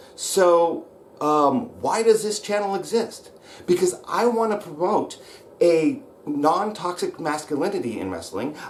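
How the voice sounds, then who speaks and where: A man with an American accent shouts in a high voice with lively intonation over noticeable background noise. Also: fairly slow pace. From US Pacific Northwest (Roseburg, Oregon). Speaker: wrestling coach / channel host. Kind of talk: angry vlog rant. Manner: shouting; hesitant fillers (um, uh).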